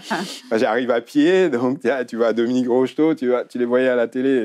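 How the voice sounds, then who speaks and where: Speaking at a moderate pace and medium pitch, a man uses lively intonation. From Africa. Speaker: former footballer. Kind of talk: interview. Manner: hesitant.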